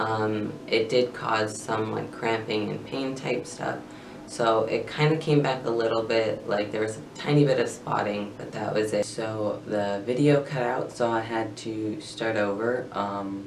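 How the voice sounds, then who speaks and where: In a room with audible echo and noticeable background noise, a man speaks at a fairly slow pace. He barely pauses, and his intonation stays fairly even. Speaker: vlogger sharing transition updates. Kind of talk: casual vlog update. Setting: filming in bedroom in front of tapestry. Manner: hesitant, many filler words.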